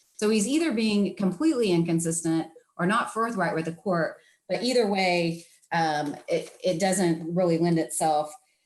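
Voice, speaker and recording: A woman with a normal speaking voice talks at medium pitch and moderate pace. Her pitch varies in an ordinary way, and her loudness stays very even. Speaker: attorney. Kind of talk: oral argument before appeals court. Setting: video call.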